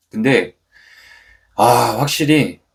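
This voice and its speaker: A man speaks at a very slow pace. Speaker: business owner and channel host. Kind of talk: vlog monologue. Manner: frequent filler hesitations.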